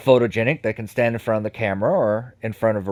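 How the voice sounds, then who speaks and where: A man speaks at medium pitch. The recording is very clean with a silent background, and the sound is dry and close with no echo. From United States. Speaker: psychic and spiritual worker. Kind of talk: interview conversation. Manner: halting, with fillers and restarts.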